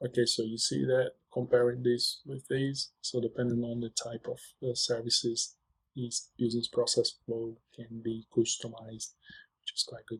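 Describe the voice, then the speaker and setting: His voice is somewhat breathy and medium in pitch, with monotone, flat intonation. The man's loudness swings widely. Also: moderate pace. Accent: non-native. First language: not English. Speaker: software tutorial presenter. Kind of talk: screen-share tutorial. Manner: hesitant, many fillers.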